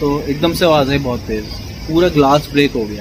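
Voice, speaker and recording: A man talks over noticeable background noise. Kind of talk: casual vlog chat. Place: home room. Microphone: phone near.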